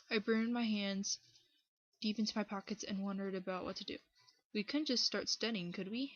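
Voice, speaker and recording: With a fairly high pitch and a somewhat breathy sound, a woman speaks at a fairly quick pace with ordinary pitch variation and long, frequent pauses. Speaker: fan fiction reader. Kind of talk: dramatic story reading.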